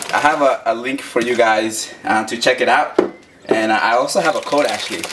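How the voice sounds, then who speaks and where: A man is speaking. Background noise is noticeable. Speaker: daily runner vlogger. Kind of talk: casual vlog chat. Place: kitchen.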